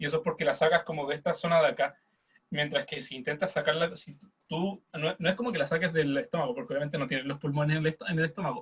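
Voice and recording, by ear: A man talks at a fast pace with a fairly high pitch and fairly even intonation. His tone is fairly bright, with a slightly husky edge.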